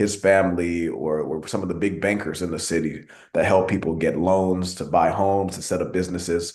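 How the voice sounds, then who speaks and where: In a Texan accent, the speaker goes at a fairly quick pace with hardly any pauses and a monotone, flat intonation, with audible room echo. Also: man, very deep, low pitch for a man. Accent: Texan American English. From Texas, Arlington (moved from Nigeria at two). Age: 20s. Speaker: city council member. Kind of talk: speech at an online meeting.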